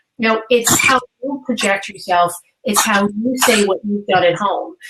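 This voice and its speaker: Fairly high in pitch, a woman speaks with a New York accent. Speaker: career coach. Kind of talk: webinar interview. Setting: live webinar.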